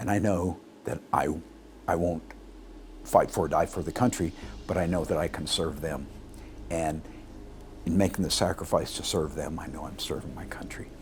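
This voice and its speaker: Music plays in the background while a man speaks at a very deep, low pitch with ordinary pitch variation. His pace is moderate, with long, frequent pauses. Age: 60s. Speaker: doctor. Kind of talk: interview. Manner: halting.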